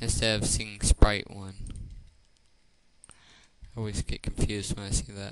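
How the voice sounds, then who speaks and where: At a moderate pace, a man speaks in a flat monotone at a fairly low pitch. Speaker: game-making tutorial creator. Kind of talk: screen-recorded tutorial. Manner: casual, hesitant with fillers.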